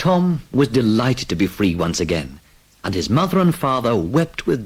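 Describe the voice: The clip is plain reading aloud.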